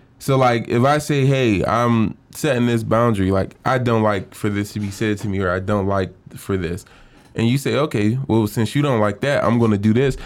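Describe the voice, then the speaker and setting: A man speaks in a normal speaking voice. His pitch is medium with ordinary variation. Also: moderate pace. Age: 20s. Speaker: podcast co-host. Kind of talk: casual chat.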